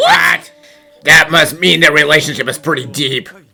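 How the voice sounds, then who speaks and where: Putting on a character voice, a man speaks at a moderate pace in a fairly high pitch as faint music plays in the background. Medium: fan dub. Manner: blunt, wry.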